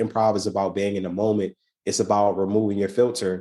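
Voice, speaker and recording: Against a quiet background, a man with a fairly low pitch and a dark, mellow tone talks at a very fast pace with fairly even intonation. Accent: American. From US, Baltimore. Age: 30s. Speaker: improv performer, artist and entrepreneur. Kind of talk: podcast interview. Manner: casual, many fillers and repetitions.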